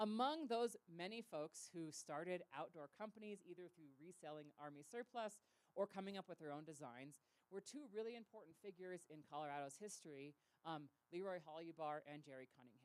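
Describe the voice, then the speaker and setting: In a normal speaking voice with an American accent, the speaker talks at a fairly quick pace with lively intonation and big swings in loudness. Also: woman, fairly low pitch for a woman. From Southern California. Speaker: historian and author. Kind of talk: public talk.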